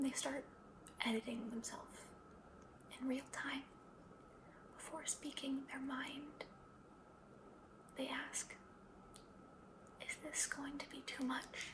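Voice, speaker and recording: The voice is whispering at a very slow pace with a gentle, calm tone. Noticeable background noise runs underneath. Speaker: ASMR creator playing a psychologist. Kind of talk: ASMR therapy roleplay, soft-spoken personal attention. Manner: soft-spoken, gentle, calm.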